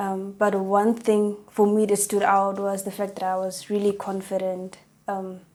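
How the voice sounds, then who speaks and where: A woman speaks at a medium pitch. Her intonation stays monotone and flat. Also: fairly slow pace. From South Africa, Northern Cape. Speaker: psychology student. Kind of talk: interview.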